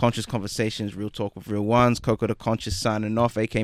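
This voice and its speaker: A man's normal speaking voice at medium pitch and a fairly quick pace, dry and close with no echo, in a very clean recording with a silent background. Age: 20s. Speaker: podcast host. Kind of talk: casual chat, interview. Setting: studio.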